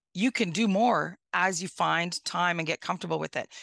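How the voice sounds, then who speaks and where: A woman talks at a moderate pace in a Northern Ontario accent, with ordinary pitch variation. The sound is dry and close, with no echo. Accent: Northern Ontario Canadian. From Northwestern Ontario, Canada. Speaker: mayor. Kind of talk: interview. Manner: animated.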